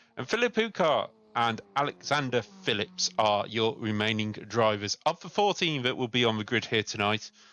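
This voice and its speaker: An ordinary speaking voice from a man, medium in pitch, at a moderate pace with ordinary pitch variation. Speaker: sim racing commentator. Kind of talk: live commentary.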